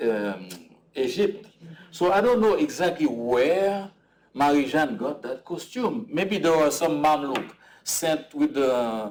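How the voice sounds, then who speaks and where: At a very slow pace, a man with a fairly high voice speaks with very wide pitch swings. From Haiti. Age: 60s. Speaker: artist. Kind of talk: conversation at a public talk. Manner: halting, many fillers and repetitions.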